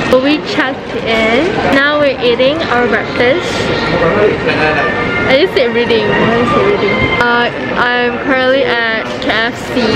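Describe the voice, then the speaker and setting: Through loud background noise, a woman speaks at a fairly slow pace with ordinary pitch variation and long, frequent pauses. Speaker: travel vlogger. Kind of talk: casual vlog chat. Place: station. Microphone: phone near.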